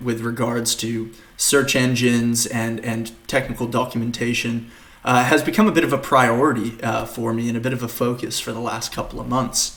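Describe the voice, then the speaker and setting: There is audible room echo as a man with an American accent speaks at a moderate pace and a medium pitch. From Australia, Queensland. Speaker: developer advocate, conference speaker. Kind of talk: conference talk. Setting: recorded at home for virtual conference. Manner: many fillers (uh, um).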